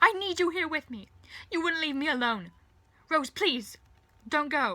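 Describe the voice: A woman uses a put-on character voice, high in pitch with a bright, sharp tone. She delivers it at a fairly slow pace. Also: lively intonation.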